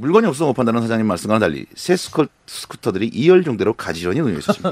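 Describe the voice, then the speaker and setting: Very fast and full of very wide pitch swings, a man's voice comes across dry with no echo. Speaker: radio host. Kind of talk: radio listener story reading. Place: studio.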